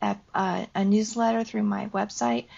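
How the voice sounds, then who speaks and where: A woman at a fairly slow pace. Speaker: nurse practitioner and author. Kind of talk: interview. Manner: halting.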